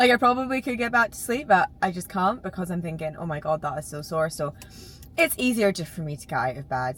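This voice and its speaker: Music plays in the background as a woman speaks at a medium pitch with lively intonation. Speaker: fitness coach and vlogger. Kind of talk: casual vlog chat. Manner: chatty.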